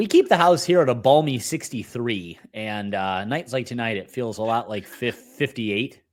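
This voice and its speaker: A moderate pace with hardly any pauses, very wide pitch swings, and a very clean recording with a silent background. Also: man. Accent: Minnesotan. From Upper Midwest, USA.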